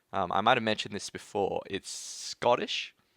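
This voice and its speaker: An Australian-accented man speaks in a bright, sharp tone, the sound dry and close with no echo, recorded very cleanly against a silent background. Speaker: tech YouTuber. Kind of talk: livestream Q&A chat. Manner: casual with many fillers.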